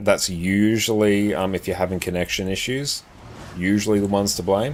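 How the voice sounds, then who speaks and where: Against noticeable background noise, a man with a fairly low pitch speaks in a relaxed tone at a moderate pace, his intonation fairly even. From South Australia. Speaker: gaming streamer. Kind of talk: casual live stream chat. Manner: relaxed, chatty.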